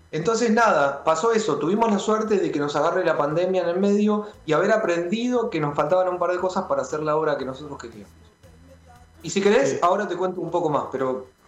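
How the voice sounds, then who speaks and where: Against noticeable background noise, a man with a high pitch talks very fast, using ordinary pitch variation. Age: 30s. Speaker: rock musician and music producer. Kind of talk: radio interview. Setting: remote call into radio show.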